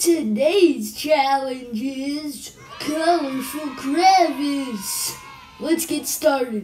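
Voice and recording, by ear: A female-sounding cartoonish character voice, high-pitched, talks at a very slow pace.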